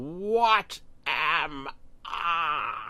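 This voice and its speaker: A man uses a put-on character voice pitched high. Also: lively intonation. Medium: read story. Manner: erratic, manic.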